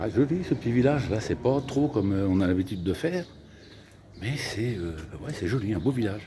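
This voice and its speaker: Over noticeable background noise, a man talks fairly quickly at a medium pitch with lively intonation and long, frequent pauses. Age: 60s. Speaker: travel vlogger. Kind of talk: casual vlog chat. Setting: outdoors. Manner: animated.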